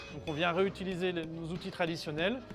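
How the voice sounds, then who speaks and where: Music plays behind a man speaking at a fairly quick pace. His pitch is high. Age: 40s. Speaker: stonemason and site foreman. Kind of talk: documentary interview. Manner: hesitant, many fillers.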